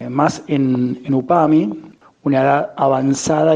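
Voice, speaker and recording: A man's medium-pitched voice with monotone, flat intonation amid noticeable background noise. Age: 40s. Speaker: emotional intelligence coach and teacher. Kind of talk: interview.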